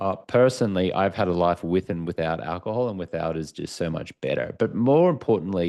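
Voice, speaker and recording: A fairly quick pace in an Australian accent. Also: man, very deep, low pitch for a man, ordinary pitch variation. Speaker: author and former sports TV anchor. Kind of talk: podcast interview.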